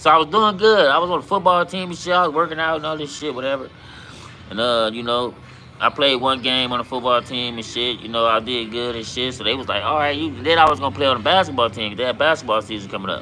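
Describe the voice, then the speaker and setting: Over noticeable background noise, someone speaks very fast with lively intonation and a slight Southern US accent. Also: man, medium pitch for a man. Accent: sounds country, Southern-tinged. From Compton, Los Angeles, California. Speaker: livestreamer, former gang member. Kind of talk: casual livestream chat and storytelling. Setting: livestream. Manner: casual, filler-heavy.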